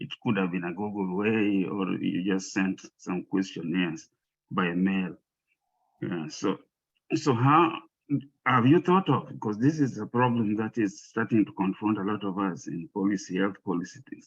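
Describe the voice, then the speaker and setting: Speaking at a fairly low pitch, a man talks with an African accent. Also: lively intonation, moderate pace. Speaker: audience member asking a question. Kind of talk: Q&A question at a public presentation. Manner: halting, with many fillers and repetitions.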